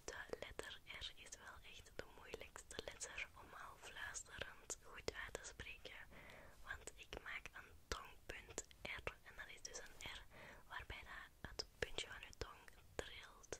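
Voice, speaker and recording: Soft-spoken whispering at a very slow pace under loud background noise. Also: woman. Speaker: ASMR creator. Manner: soft close-mic ASMR whisper. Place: home room. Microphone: studio mic.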